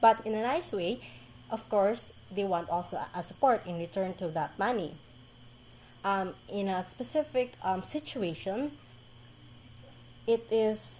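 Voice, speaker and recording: A woman with a Visayan Filipino accent speaks in a dark, mellow tone at a medium pitch, with lively intonation. Her pace is fairly slow, broken by long, frequent pauses. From Philippines, Mindanao (Bisaya speaker). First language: Bisaya. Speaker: college student. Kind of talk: class presentation. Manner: halting, many fillers.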